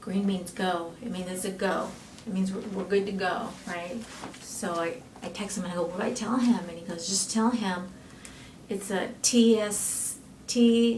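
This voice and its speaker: Amid audible room echo and noticeable background noise, a woman speaks at a moderate pace with fairly even intonation. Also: medium pitch for a woman. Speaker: nurse, patient being fitted with a hearing device. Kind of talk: casual chat. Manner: loud.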